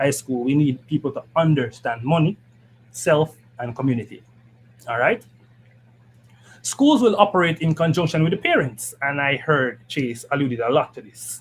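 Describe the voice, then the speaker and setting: This man has a Jamaican accent and a fairly high pitch. His voice is somewhat breathy, with ordinary pitch variation. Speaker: political party education committee member. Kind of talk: political panel discussion. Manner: fast.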